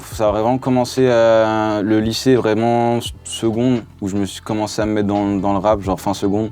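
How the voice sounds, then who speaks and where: The speaker talks in a flat monotone with hardly any pauses over noticeable background noise. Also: man, fairly low pitch for a man, moderate pace. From France, Lyon. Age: 20s. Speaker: rapper. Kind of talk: interview. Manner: hesitant with fillers.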